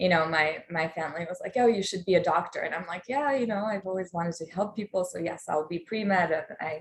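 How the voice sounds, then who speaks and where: A woman with a Polish accent speaks at a very fast pace with hardly any pauses. Her pitch varies in an ordinary way. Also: medium pitch for a woman. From Poland. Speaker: life coach. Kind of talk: online workshop talk. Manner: casual with many fillers.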